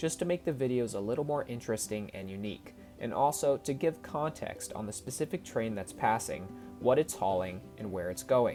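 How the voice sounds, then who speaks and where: A man's lively intonation at a fairly quick pace, with music in the background. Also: medium pitch for a man. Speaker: railfan videographer. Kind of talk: voice-over trip recap narration.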